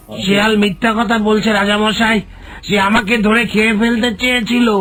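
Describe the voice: It is a cartoonish character voice with a fairly high pitch and a monotone, flat intonation. Light background noise sits underneath. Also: moderate pace.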